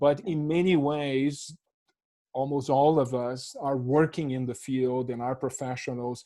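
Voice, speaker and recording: With a Portuguese accent, a man speaks at a moderate pace and a fairly high pitch. His tone is dark and mellow, his intonation fairly even. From Brazil. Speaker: professor. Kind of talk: panel discussion.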